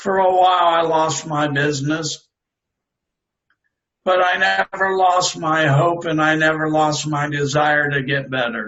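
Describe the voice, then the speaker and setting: A man speaks with a plain, everyday voice at a fairly high pitch. His pitch varies in an ordinary way, and his pace is fairly slow. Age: 60s. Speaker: stroke survivor and author. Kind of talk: interview testimony.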